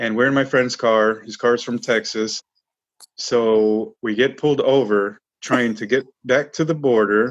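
Delivered with an American accent, a plain, everyday voice keeps a fairly even intonation. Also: man. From Chicago suburbs. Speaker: war veteran. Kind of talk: interview.

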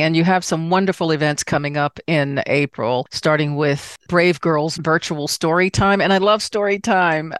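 A woman with an American accent and an unremarkable speaking voice talks at a fairly low pitch and moderate pace, with hardly any pauses, ordinary pitch variation, very even loudness, and a dry, close sound with no echo. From Washington, D.C. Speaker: podcast host, travel professional. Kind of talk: casual interview chat.

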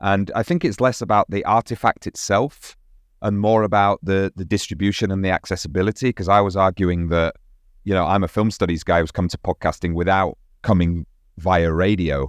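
A man with a British accent talks at a fairly quick pace in a very deep, low pitch with fairly even intonation. The background is quiet and the sound is dry and close with no echo. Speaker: podcast co-host and film educator. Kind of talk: casual chat.

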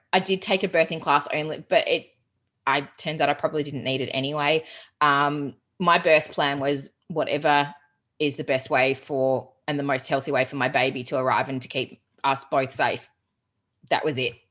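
Speaking in an Australian accent, a woman has a very deep, low pitch. She moves at a moderate pace with fairly even intonation. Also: quiet background. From Australia, Geelong (Victoria). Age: 30s. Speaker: productivity coach. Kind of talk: casual interview chat.

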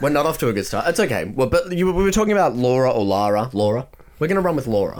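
Very wide pitch swings run through this man's fairly high voice as he talks at a very fast pace. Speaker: podcast co-host. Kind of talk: casual chat.

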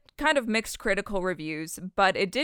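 A plain, everyday voice from a woman at a medium pitch, fairly quick with lively intonation, on a very clean recording with a silent background. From Canada. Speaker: podcast co-host. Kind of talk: casual chat.

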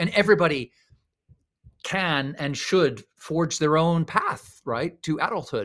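This man has an unremarkable speaking voice at a fairly high pitch, with ordinary pitch variation and a fairly slow pace. The recording is very clean, with a silent background. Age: 50s. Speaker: author and speaker on slow living. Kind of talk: interview.

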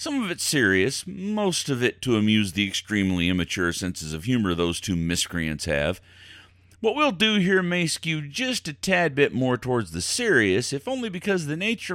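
A man speaks at a moderate pace, his pitch swinging very widely. The recording is very clean with a silent background. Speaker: podcast host. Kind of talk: carnival barker-style showman patter opening a weird-news podcast. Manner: theatrical, hammy carny-barker hype with folksy flourishes; playfully spooky, teasing and conspiratorial.

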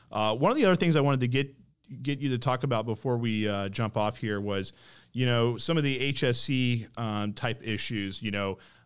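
Captured in a very clean recording with a silent background, a man talks at a moderate pace in a normal speaking voice with ordinary pitch variation. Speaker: podcast host. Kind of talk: interview.

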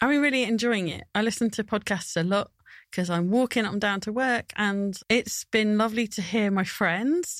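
A woman's fairly high voice, an ordinary speaking voice, with ordinary pitch variation at a moderate pace, a dry, close sound with no echo and a very clean recording with a silent background. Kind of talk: casual chat.

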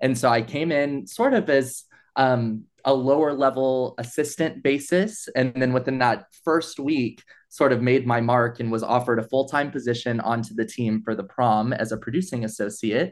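Here is a man with a normal speaking voice and an American accent. He talks at a moderate pace and a medium pitch, with ordinary pitch variation. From East Texas. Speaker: nonprofit events and fundraising manager. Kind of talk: interview conversation.

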